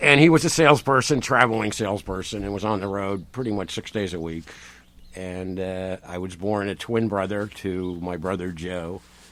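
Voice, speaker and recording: Talking at a moderate pace with an American accent, a man has an ordinary speaking voice at a fairly low pitch, with ordinary pitch variation and big swings in loudness. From Rhode Island, US. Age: 60s. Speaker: farmer. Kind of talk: casual interview chat.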